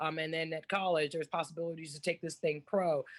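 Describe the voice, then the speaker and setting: A woman's normal speaking voice, fairly low in pitch, with an American accent, fairly even intonation and a quiet background. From Texas, Dallas. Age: 30s. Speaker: former pro basketball player, motivational speaker. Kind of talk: podcast interview.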